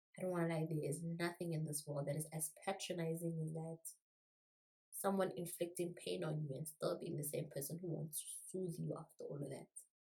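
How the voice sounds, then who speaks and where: This woman speaks at a fairly quick pace in a dark, mellow tone, her fairly low voice somewhat breathy and her intonation flat and monotone. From South Africa. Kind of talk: casual talk to camera.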